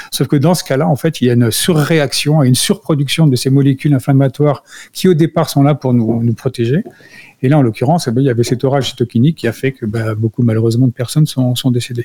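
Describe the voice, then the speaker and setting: The sound is dry and close with no echo. The speaker goes at a very fast pace, somewhat breathy, with a dark, mellow tone and ordinary pitch variation. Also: man, medium pitch for a man. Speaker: integrative health expert and entrepreneur. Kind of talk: educational radio talk. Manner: hesitant, with repeated words.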